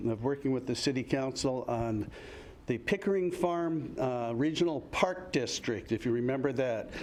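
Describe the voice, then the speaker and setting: With audible room echo, a man with an American accent speaks at a moderate pace and ordinary pitch variation. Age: 70s. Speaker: retired firefighter, public commenter. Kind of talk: public comment at city council meeting. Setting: council chamber, public meeting. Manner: halting, many fillers.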